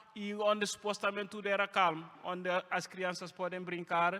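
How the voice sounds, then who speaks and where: A man's raised, projected voice, high-pitched, bright and sharp, at a moderate pace with monotone, flat intonation. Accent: French. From Guinea (Conakry). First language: French (speaking Portuguese). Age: 20s. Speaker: refugee sharing his story. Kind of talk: testimony. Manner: halting, many hesitations.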